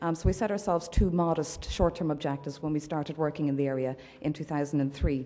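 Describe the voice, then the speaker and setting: A woman with an Irish accent talks at a very fast pace. Her very deep, low pitch holds fairly even intonation. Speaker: human rights campaigner. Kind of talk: conference address. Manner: loud.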